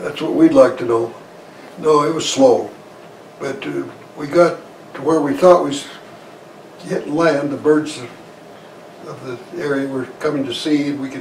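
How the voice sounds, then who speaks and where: A man speaks at a moderate pace with an American accent, his pitch fairly high. Noticeable background noise runs behind him. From Idaho, USA. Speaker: war veteran; farmer. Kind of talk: interview answer.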